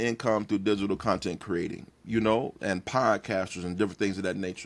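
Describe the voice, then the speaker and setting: Very fast and animated, a man talks with an American accent. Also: very clean recording, silent background. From East Texas (Tyler). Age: 50s. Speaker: pastor and content creator. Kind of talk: podcast interview.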